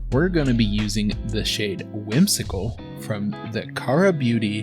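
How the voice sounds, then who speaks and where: A man talks at a very slow pace. Behind him, music is playing. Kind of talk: comedic makeup tutorial voiceover.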